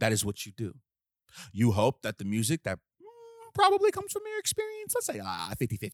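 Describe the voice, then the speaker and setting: An animated man with an American accent at a fairly quick pace, long and frequent pauses, and a dry, close sound with no echo. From Southeast Washington DC. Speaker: podcast host. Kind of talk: casual commentary monologue.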